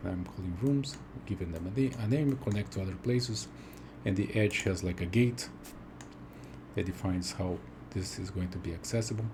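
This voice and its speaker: A man speaks at a moderate pace in a fairly low, somewhat breathy voice with a dark, mellow tone and lively intonation. Room echo is audible. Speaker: game tool developer. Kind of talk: software demo. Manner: whispered, soft; halting, many fillers.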